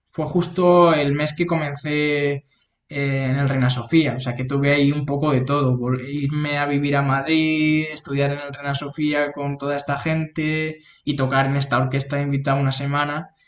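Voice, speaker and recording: Speaking in a monotone, flat intonation, a man with a fairly high pitch keeps a moderate pace. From Spain, Toledo. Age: 20s. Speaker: clarinetist. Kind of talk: interview.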